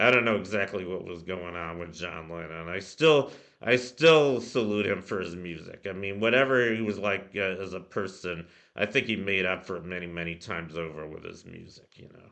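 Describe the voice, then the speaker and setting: A man speaks at a moderate pace with a very deep, low pitch and ordinary pitch variation. His tone is bright and sharp, and his loudness swings widely. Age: 60s. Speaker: music video host. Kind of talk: casual monologue. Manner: hesitant, many fillers.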